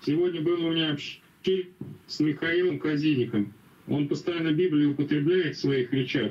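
A man's fairly high voice shows ordinary pitch variation as he talks at a moderate pace. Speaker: Bible study participant. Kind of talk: questions and prayer. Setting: video call. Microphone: video call.

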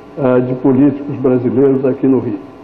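Audible echo from the room and noticeable background noise surround talk that moves fairly slowly. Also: man. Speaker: diplomat, ambassador. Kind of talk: lecture. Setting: hall with audience.

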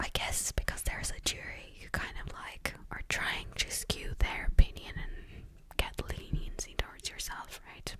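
A woman whispering at a fairly slow pace, with big swings in loudness. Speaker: true crime storyteller. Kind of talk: casual narration with commentary. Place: home room. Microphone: studio mic.

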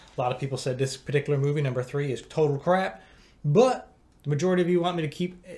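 Somewhat breathy, a man speaks at a very fast pace. His tone is dark and mellow, with ordinary pitch variation. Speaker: movie reaction YouTuber. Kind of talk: casual vlog chat. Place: home room.

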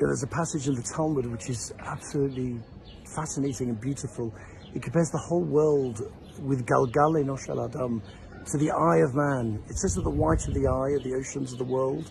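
Noticeable background noise sits under a dry sound with no echo. A man talks at a fairly quick pace with ordinary pitch variation. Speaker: religious teacher. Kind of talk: short inspirational talk. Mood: warm, cheerful. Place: street. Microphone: phone near.

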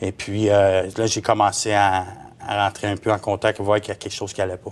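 A man's fairly low voice in a monotone, flat intonation. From Quebec. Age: 40s. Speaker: former sect member; interview guest. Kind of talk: testimony. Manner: halting. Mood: earnest, recounting personal past. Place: studio.

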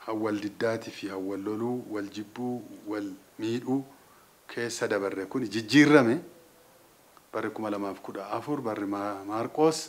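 Here a man speaks in a fairly low voice. His pitch shifts in an ordinary way. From Ethiopia, Oromia. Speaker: Orthodox church clergyman. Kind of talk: New Year religious message. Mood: calm, earnest, blessing. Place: office. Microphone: studio mic.

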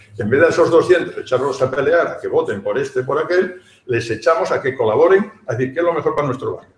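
Audible room echo surrounds a man talking at a fairly quick pace with lively intonation. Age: old. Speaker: professor emeritus. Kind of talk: panel discussion. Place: hall. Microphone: camera far.

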